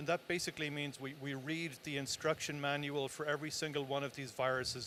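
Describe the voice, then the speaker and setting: With an Irish accent, a man talks at a fairly quick pace in a fairly high pitch, his intonation monotone and flat. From Ireland, Tipperary. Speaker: cancer research director. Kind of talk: interview.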